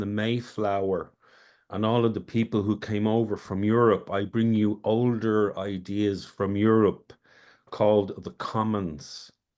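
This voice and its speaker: A man speaks fairly slowly in an Irish accent. His voice is fairly low-pitched, with a dark, mellow tone. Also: quiet background. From Ireland. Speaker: community project organizer. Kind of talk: self-introduction in online meeting. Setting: video call.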